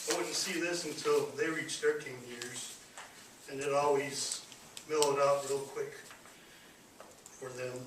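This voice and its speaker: Against noticeable background noise, a man with an American accent speaks slowly-ish in a fairly high pitch, his monotone, flat delivery broken by long, frequent pauses. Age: 50s. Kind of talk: public speech.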